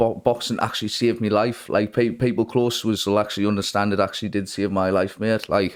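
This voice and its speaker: A man with a northeast English accent talks very fast in a fairly low, flat monotone at very even loudness, captured in a very clean recording with a silent background. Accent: northeast English (Geordie-type). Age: 20s. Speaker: boxer. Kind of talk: interview. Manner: halting.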